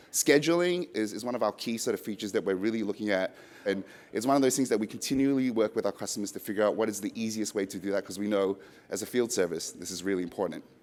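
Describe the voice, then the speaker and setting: This man talks at a very fast pace with an Australian accent. His pitch is fairly low, with ordinary variation. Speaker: software product presenter. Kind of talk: business presentation.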